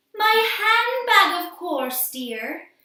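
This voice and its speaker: Putting on a character voice, a woman speaks at an extremely high pitch with very wide pitch swings and a slight echo. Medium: read story. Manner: fluttery, affectionate.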